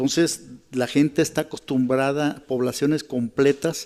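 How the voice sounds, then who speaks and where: At a moderate pace, a man speaks with fairly even intonation at a medium pitch. His tone is dark and mellow. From Mexico, Michoacán. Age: 60s. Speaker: journalist and local fixer. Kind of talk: interview testimony. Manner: halting, with repetitions.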